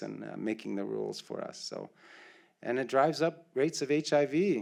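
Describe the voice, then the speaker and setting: A man with a Canadian accent and a plain, everyday voice, at a moderate pace with ordinary pitch variation. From Ontario, Canada (First Nations reserve). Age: 60s. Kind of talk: land acknowledgement welcome speech.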